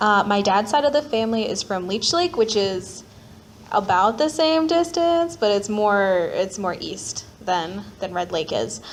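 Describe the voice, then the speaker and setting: A woman speaks in a Minnesota accent at medium pitch and a fairly slow pace. Her pitch swings very widely. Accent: Upper Midwest (Minnesota). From Minneapolis, Minnesota. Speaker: panelist sharing personal story. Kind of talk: personal testimony at panel. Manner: casual, filler-heavy.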